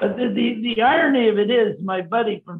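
Speaking at a moderate speed, a man uses ordinary pitch variation. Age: 80s+. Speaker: senior cyclist on a bike tour; interviewee. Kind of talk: casual interview. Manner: halting, repeats words. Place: home room. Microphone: video call.

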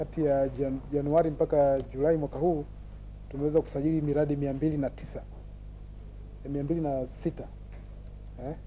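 Over light background noise, a man speaks in a monotone, flat way with a dark, mellow tone. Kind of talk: press interview answer. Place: office. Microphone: handheld.

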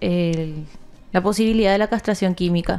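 A woman talks at a fairly slow pace. Her tone is dark and mellow, with ordinary pitch variation. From Paraguay. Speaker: news show co-host. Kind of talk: casual news chat. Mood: serious, concerned. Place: studio. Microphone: studio mic.

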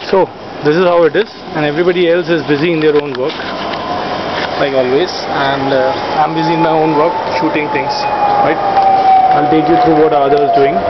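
A man speaks fairly quickly while loud noise fills the background. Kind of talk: casual vlog chat. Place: street. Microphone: phone near.

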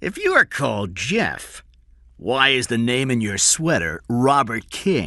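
Using a put-on character voice, a man speaks slowly in a bright, sharp tone with very wide pitch swings. The recording is very clean, the background silent. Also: medium pitch for a man.

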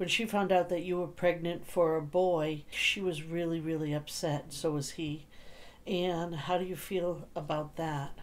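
Her voice is an ordinary speaking voice, a woman's at a fairly low pitch, delivered at a fairly slow pace. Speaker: paranormal session host asking questions. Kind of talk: question-and-answer session commentary.

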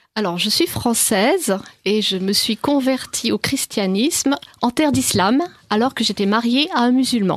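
A woman with a plain, everyday voice speaks at a fairly slow pace in a fairly high pitch, her loudness very even. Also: lively intonation. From France. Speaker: author on the Quran. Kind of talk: radio interview. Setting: studio.

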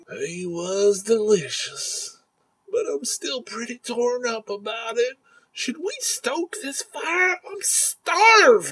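A put-on character voice, high-pitched with very wide pitch swings, at a very slow pace. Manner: slow, gluttonous, easily swayed.

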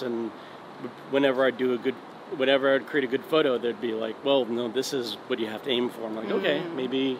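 Over noticeable background noise, a man talks at a very fast pace with fairly even intonation. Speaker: interviewee. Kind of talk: interview answer. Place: street. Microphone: phone near.

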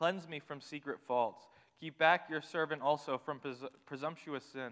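The speaker is a man. His voice sounds bright and sharp. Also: quiet background. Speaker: scripture reader. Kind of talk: scripture reading. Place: church. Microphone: podium.

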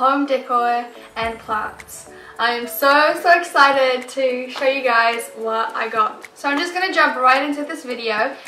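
A woman speaks fairly slowly in a raised, projected voice. Faint music plays behind her, and the room has audible echo. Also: ordinary pitch variation. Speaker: home decor vlogger. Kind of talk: casual vlog chat. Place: home room.

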